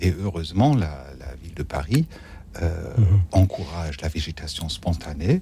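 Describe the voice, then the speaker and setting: A man's dark, mellow, somewhat breathy voice at a fairly slow pace, with lively intonation and big swings in loudness. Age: 50s. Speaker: religious brother. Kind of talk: radio talk show.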